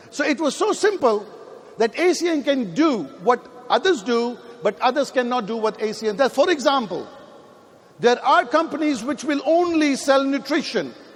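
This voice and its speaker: A man's extremely high-pitched voice with lively intonation at a moderate pace, over noticeable background noise. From Pakistan. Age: 50s. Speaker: network marketing leader. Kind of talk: motivational speech. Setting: stage with audience. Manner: animated.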